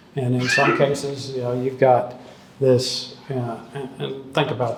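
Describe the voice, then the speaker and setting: In a space with audible room echo and noticeable background noise, a man talks at medium pitch with flat, monotone intonation. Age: 60s. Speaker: economist. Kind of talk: talk with audience Q&A. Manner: casual, hesitant with fillers.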